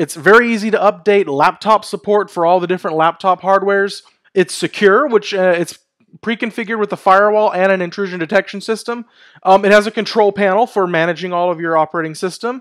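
Over a quiet background, a high-pitched man speaks very fast with fairly even intonation. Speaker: tech video host. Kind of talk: tech commentary. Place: home room. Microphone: headset.

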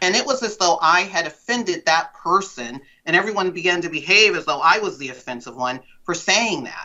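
Using very wide pitch swings, a woman with a fairly low pitch speaks at a fairly quick pace. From Central Valley of California (Lodi). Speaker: former DEI director and educator. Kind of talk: interview. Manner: hesitant, many fillers.

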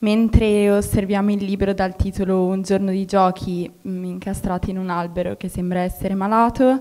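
At a moderate pace, a woman speaks with fairly even intonation against a quiet background. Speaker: workshop participant. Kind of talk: narrated report. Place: hall.

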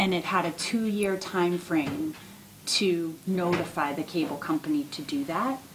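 The speaker goes at a fairly slow pace over noticeable background noise. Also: woman. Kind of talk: meeting explanation. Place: meeting room. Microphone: podium.

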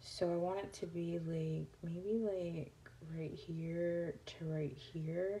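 A woman with a fairly low pitch talks at a very slow pace, somewhat breathy, her intonation fairly even. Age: 20s. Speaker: crafting YouTuber. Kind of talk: tutorial; casual tutorial chat. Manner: casual, with many fillers. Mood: relaxed, chatty. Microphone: phone near.

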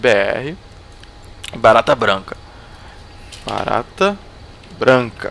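A man talks at a very slow pace with long, frequent pauses. Light background noise is audible. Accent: Brazilian. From Brazil. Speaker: gaming youtuber. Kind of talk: gameplay commentary. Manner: animated. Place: home room. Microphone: headset.

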